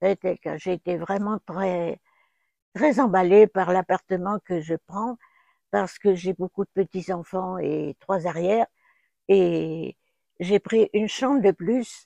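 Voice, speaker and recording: A woman at a very slow pace, dark, mellow tone, ordinary pitch variation, big swings in loudness and long, frequent pauses, in a dry, close sound with no echo over a quiet background. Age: 80s+. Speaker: retirement home resident. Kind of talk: testimony.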